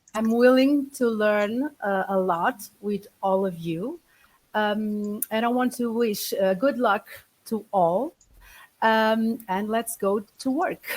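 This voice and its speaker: Speaking with a Portuguese accent, a woman talks at a very slow pace. Her voice is fairly high-pitched with ordinary pitch variation. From Portugal. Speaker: physician, team coordinator. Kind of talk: self-introduction in webinar. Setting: video call. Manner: halting.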